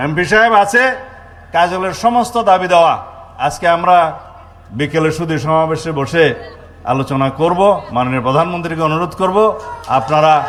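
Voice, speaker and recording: Noticeable background noise sits under a man who speaks high with lively intonation. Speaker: politician, home minister. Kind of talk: political rally speech. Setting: outdoors with microphone.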